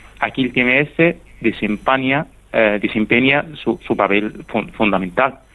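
A man's medium-pitched voice at a very slow pace, with ordinary pitch variation and very even loudness. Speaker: neuroscience researcher. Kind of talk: radio interview.

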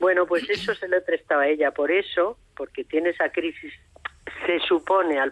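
The recording is dry and close with no echo as a woman speaks at a moderate pace. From Madrid, Spain. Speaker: novelist. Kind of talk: interview.

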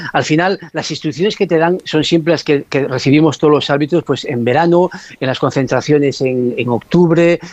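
A man with a plain, everyday voice talks fairly quickly at a fairly high pitch, his intonation fairly even. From Asturias, Spain. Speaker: former football referee. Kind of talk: radio interview.

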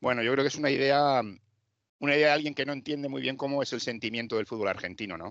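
Talking very fast, a man keeps a medium pitch with ordinary pitch variation. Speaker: football correspondent. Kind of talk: casual chat.

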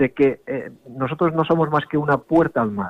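This man has a normal speaking voice and speaks at a moderate pace. His intonation stays fairly even. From Ibiza. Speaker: sailing club representative. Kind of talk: interview.

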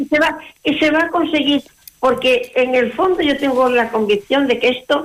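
A woman's high voice with lively intonation, at a fairly slow pace. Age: 80s+. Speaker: nun. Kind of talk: interview.

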